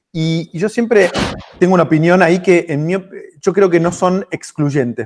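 The sound is dry and close with no echo. A man with a high pitch speaks at a moderate pace. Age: 40s. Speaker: entrepreneur and author. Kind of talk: interview.

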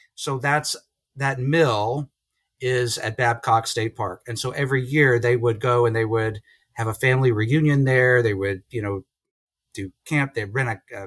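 A man speaks in a normal speaking voice at medium pitch, with fairly even intonation and a moderate pace. The recording is very clean, with a silent background and a dry, close sound that has no echo. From central Virginia (Lynchburg). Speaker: business professor. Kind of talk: casual interview.

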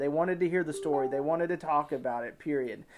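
A man talks in an Ozark accent at a fairly high pitch. His pitch rises and falls in an ordinary way. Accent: Ozark Southern US. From Arkansas, Ozarks. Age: 30s. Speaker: hunting content creator. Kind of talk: casual interview.

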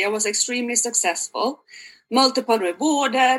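A woman with a Swedish accent speaks at a moderate pace, her tone bright and sharp. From Sweden. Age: 40s. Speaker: health coach. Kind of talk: interview.

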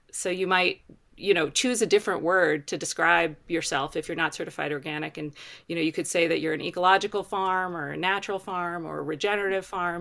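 A woman's very fast, fairly low voice with a bright, sharp tone, an American accent and fairly even intonation, on a very clean recording with a silent background. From Baltimore, Maryland, US. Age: 40s. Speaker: organic farmer and certification co-director. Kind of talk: interview conversation.

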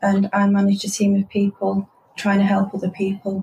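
In a Manchester accent, a woman speaks at a medium pitch with a dark, mellow tone that is somewhat breathy. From Manchester, northern England. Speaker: transport company manager. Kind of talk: interview.

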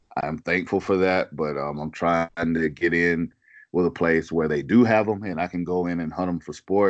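A man with a Southern US accent speaks at a moderate pace, his very deep, low pitch held to fairly even intonation. The sound is dry and close with no echo, over a quiet background. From US South, South Carolina. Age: 40s. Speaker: hunting podcaster. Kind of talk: casual chat.

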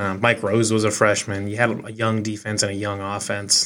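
The speaker is a man with a Midwestern American accent. His pitch is fairly low and his pace moderate. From Eastern Iowa. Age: 20s. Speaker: sports podcast host. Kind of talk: solo podcast reaction. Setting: home office studio. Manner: casual, halting with fillers.

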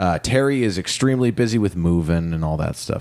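Here a man talks very fast. His intonation is lively. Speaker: podcast host. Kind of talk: casual chat; scripted disclaimer and credits. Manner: loud.

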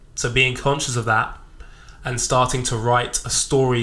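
The man's voice sits at a medium pitch and has a bright, sharp tone. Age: 20s. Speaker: podcast host and personal trainer. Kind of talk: solo reflective monologue. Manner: spontaneous, unscripted.

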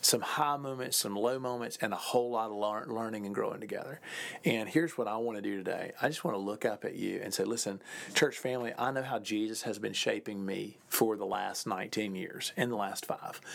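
Talking at a fairly quick pace, a man has a plain, everyday voice. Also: medium pitch for a man, ordinary pitch variation. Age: 40s. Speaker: pastor. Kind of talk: podcast monologue. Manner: warm, casual with fillers.

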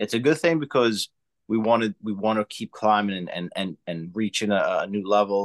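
An American accent with ordinary pitch variation, in a dry, close sound with no echo against a quiet background. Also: man. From US, Italian American. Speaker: screenwriter and filmmaker, podcaster. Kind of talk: casual interview chat.

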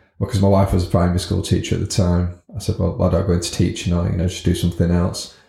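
Talking at a very fast pace, a man speaks in a monotone with flat intonation, his voice very deep and low, somewhat breathy, with a dark, mellow tone. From northern England (Scunthorpe, North Lincolnshire). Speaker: business owner. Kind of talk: interview. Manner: hesitant, many fillers.

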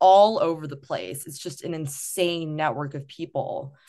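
Against a quiet background, a woman with a fairly low pitch talks in an ordinary speaking voice. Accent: American. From rural Wisconsin. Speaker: student athlete and startup founder. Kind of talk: interview.

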